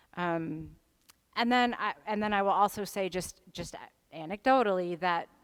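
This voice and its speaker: With an American accent, an unremarkable speaking voice rises and falls in an ordinary way. Nothing sounds in the background of this very clean recording. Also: woman. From US South. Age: young. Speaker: hospital chaplain leading a church class. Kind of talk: workshop talk with questions. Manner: conversational with many fillers and restarts.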